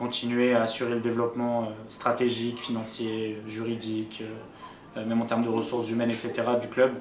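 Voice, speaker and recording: A man speaks at a moderate pace in a medium pitch with monotone, flat intonation. The room echo is audible and the background noise is noticeable. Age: 20s. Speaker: esports team founder and director. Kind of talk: documentary interview. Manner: hesitant with many fillers.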